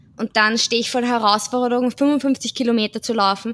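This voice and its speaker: At a moderate pace and with fairly even intonation, the speaker uses a plain, everyday voice. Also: woman. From Austria, Vienna. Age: 30s. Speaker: social pedagogue and amateur runner. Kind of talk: casual chat.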